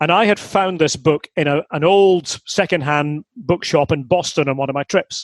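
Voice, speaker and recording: The sound is dry and close with no echo, as a man speaks at a moderate pace. His pitch is fairly high. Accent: Scottish. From Aberdeen, Scotland. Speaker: football commentator. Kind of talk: interview answer.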